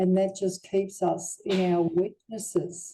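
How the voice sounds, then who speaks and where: A woman speaks at a medium pitch with a dark, mellow tone and an Australian accent. Her intonation stays monotone and flat. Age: 70s. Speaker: near-death experiencer. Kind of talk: testimony.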